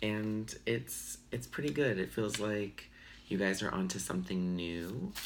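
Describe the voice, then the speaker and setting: Amid audible room echo, a man with a fairly low pitch speaks at a fairly slow pace with lively intonation. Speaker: tarot reader. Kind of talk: tarot reading. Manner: casual, hesitant with fillers.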